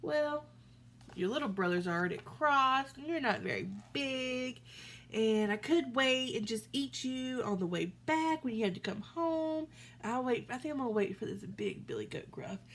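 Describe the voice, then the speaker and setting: A put-on character voice speaks at a moderate pace. Background noise is clearly audible. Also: woman, high pitch for a woman. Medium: read story. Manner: roaring.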